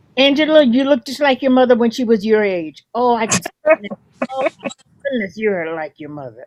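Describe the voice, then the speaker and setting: A woman speaks at a moderate pace with an American accent and a fairly high pitch. Her pitch swings very widely, and the sound is dry and close, with no echo. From southern New Jersey. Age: 80s+. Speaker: community elder. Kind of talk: casual chat. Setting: video call.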